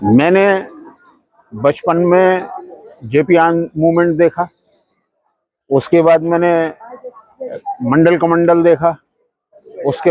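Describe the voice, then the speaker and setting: A man's high-pitched voice in a dry, close sound with no echo. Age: 60s. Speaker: protester. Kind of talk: street interview. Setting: outdoors at a protest.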